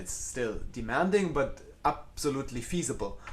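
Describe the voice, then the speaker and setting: A somewhat breathy man's voice in a German accent, with ordinary pitch variation. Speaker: concert cellist. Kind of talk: live Q&A chat. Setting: live video stream from home. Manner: halting, with repeated false starts.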